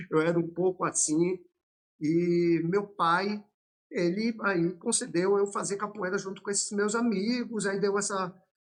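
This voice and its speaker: A high-pitched male voice with fairly even intonation. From Brazil, Salvador, Bahia. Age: 50s. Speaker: capoeira master. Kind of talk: podcast interview.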